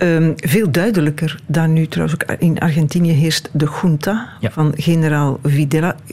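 With a Flemish accent, a woman with a very deep, low pitch speaks at a moderate pace with ordinary pitch variation, very even loudness and hardly any pauses, over noticeable background noise. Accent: Flemish Dutch. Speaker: radio host. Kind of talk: interview.

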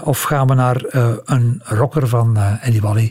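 A man's voice against noticeable background noise. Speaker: music historian and podcast storyteller. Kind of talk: storytelling conversation. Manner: animated, laughing at times.

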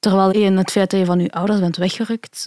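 A woman at a medium pitch speaks fairly quickly in a dark, mellow tone with monotone, flat intonation, in a very clean, dry, close recording with no echo and a silent background. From Belgium (adopted from China as infant). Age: 20s. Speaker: illustrator and graphic designer, adoptee. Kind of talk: casual interview conversation.

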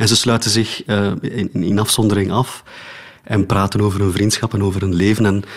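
Speaking at a fairly quick pace, a man keeps his fairly low voice monotone and flat. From Flanders, Oudenaarde. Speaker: philosopher and theatre maker. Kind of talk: radio interview. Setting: home studio, remote.

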